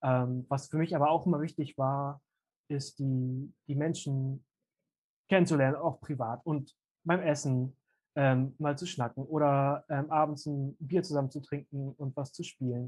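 A man speaks fairly slowly at a fairly high pitch, his voice somewhat breathy and his intonation monotone and flat. The very clean recording has a silent background and a dry, close sound with no echo. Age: 20s. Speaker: youth seminar team leader. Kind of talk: casual interview. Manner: hesitant with many fillers.

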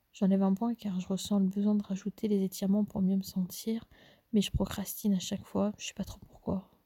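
Somewhat breathy and dark, mellow in tone, a woman talks at a fairly quick pace with a medium pitch and monotone, flat intonation. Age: 20s. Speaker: solo podcaster. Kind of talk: personal diary monologue. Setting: at home, mother in the next room. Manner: hushed, quiet; hesitant.

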